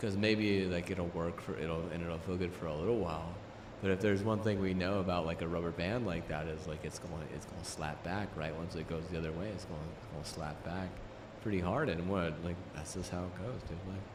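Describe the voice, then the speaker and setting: A man's very deep, low voice at a fairly quick pace, with audible room echo. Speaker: livestreamer. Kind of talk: casual livestream chat. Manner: halting, repetitive; casual, animated.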